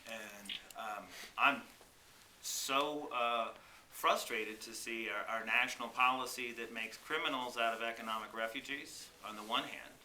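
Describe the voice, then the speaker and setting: A man's medium-pitched voice with an American accent, at a moderate pace with fairly even intonation, big swings in loudness, and audible room echo. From South Texas border (Rio Grande Valley). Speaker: congressional candidate. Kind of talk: petition delivery testimony.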